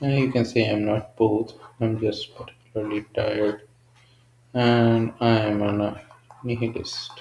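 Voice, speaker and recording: A man's monotone, flat delivery at medium pitch, fairly slow, with a non-native accent over noticeable background noise. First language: not English. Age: 20s. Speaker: solo video creator. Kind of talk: casual monologue. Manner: halting, unscripted.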